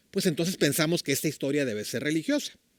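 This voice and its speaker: This very clean recording with a silent background captures a man in a dry, close sound with no echo. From Mexico, Tijuana. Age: 60s. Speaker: church leader, preacher. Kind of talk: sermon. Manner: conversational, with filler words.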